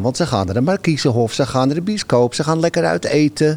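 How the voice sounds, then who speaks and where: On a very clean recording with a silent background, a man with a normal speaking voice talks fairly quickly with lively intonation at a fairly high pitch. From Netherlands, Amsterdam-Noord. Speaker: venue volunteer host. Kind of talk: casual interview chat.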